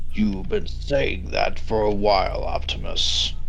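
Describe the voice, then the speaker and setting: A man puts on a character voice at a fairly slow pace. Clear background noise can be heard. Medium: actual play. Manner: gruff, blunt, brooding.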